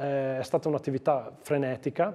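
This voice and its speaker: Against a quiet background, a man with a Trentino accent speaks in a dark, mellow tone. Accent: Lombard-sounding Giudicarie. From Trentino, Giudicarie (Storo area); Trentino, Italy. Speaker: provincial councillor; council guest. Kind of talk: TV interview; interview answer. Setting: studio. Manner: hesitant, with fillers. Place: studio. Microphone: lapel.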